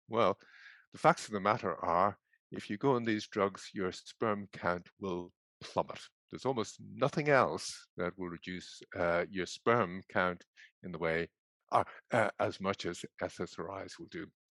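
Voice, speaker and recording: A man speaks with an Irish accent at a fairly low pitch and a fairly slow pace, his loudness swinging widely, in a dry, close sound with no echo against a quiet background. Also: ordinary pitch variation. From Ireland. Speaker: psychiatry professor. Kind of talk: presentation.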